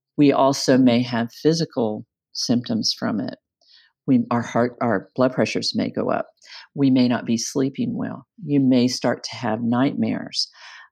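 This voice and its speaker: Fairly slow speech in an American accent against a quiet background. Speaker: psychiatric nurse and nursing association president. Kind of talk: interview.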